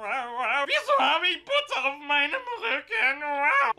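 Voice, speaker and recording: A put-on character voice, high in pitch and very slow in pace. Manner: cat-like, playful imitation.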